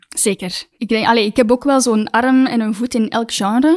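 With a Flemish accent, a woman speaks at a high pitch and a moderate pace in a dark, mellow tone, the sound dry and close with no echo. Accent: Flemish Dutch. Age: 20s. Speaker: actress. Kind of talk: casual chat.

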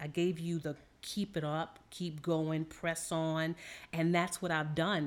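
This is an ordinary speaking voice with an American accent. The pace is fairly slow. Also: woman. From New Orleans, Louisiana, US South. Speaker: therapist or counselor guest. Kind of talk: casual chat.

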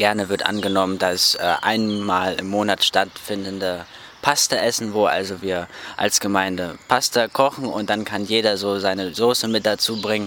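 Against noticeable background noise, a man speaks at a fairly low pitch and a moderate pace with fairly even intonation. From northern Germany, Rostock. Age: 20s. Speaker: Bible school student. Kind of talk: interview. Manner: hesitant with fillers.

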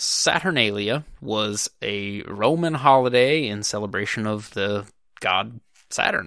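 In a very clean recording with a silent background, a man with an American accent speaks very slowly, his medium-pitched voice bright and sharp in tone. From United States. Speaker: podcast host. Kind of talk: solo monologue. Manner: halting.

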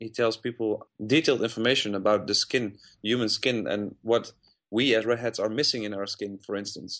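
A man with a Dutch accent speaks at a medium pitch and a moderate pace. His intonation is fairly even, and the background is quiet. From Netherlands (Uden, North Brabant). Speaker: festival press coordinator. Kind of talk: interview. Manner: halting.

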